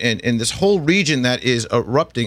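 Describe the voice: A man talks with an American accent at a medium pitch. His tone is bright and sharp, and his intonation is lively.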